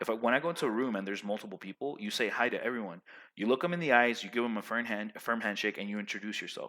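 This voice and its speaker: Loud and animated, a man talks very fast at a medium pitch, his bright, sharp tone carrying ordinary pitch variation. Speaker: vlogger giving life advice. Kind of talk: casual monologue.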